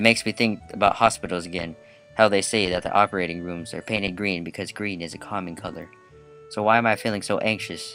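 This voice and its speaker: A man with a fairly low voice talks at a very fast clip in a fairly even tone, with music playing in the background. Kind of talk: visual novel read-aloud let's play. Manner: casual, joking.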